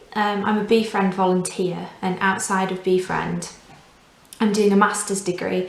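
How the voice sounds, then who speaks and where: Speaking at a moderate pace in a medium pitch, a woman with a Yorkshire accent keeps a monotone, flat intonation over noticeable background noise and audible room echo. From northern England, Doncaster. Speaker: volunteer language teacher. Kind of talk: tutorial.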